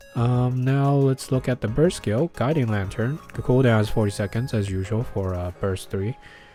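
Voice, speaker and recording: A man with a medium pitch talks at a moderate pace with ordinary pitch variation and hardly any pauses, with music in the background. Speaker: gaming youtuber. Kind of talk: game character analysis. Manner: many filler words, hesitant.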